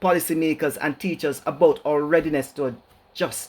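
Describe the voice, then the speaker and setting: Here a man speaks with a Jamaican accent at a moderate pace. His pitch is fairly high. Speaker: educator, keynote speaker. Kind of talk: keynote lecture.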